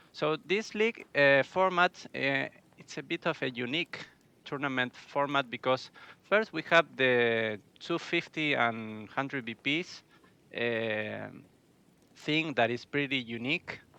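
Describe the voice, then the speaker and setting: With a non-native accent, a man speaks at a fairly slow pace with lively intonation and a bright, sharp tone in a dry, close sound with no echo. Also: medium pitch for a man. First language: Spanish. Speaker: esports caster. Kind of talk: live commentary. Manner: halting.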